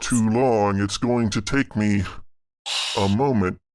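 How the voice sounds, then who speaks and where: A man puts on a character voice at a medium pitch. He talks at a fairly slow pace with fairly even intonation. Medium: actual play. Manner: cold, measured, aloof.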